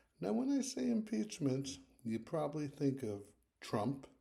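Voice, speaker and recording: A soft-spoken man talks at a fairly slow pace in a medium-pitched, somewhat breathy voice with a dark, mellow tone. His pitch swings very widely, and there is audible room echo. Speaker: history video host. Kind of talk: casual lecture.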